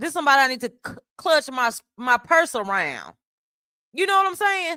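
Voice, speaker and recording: A woman's raised, projected voice, bright and sharp in tone, with lively intonation at a moderate pace. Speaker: streamer. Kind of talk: heated debate. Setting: live stream panel. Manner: repetitive, stammering.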